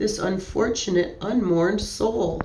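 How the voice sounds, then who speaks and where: Against clear background noise, a woman uses a raspy, shaky put-on character voice at a medium pitch and a fairly slow pace. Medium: read story.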